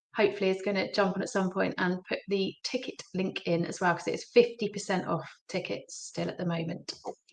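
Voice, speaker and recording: Speaking at a fairly quick pace, a woman's voice shows big swings in loudness. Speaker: gym partnerships and events organiser. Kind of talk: live-streamed industry chat. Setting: livestream.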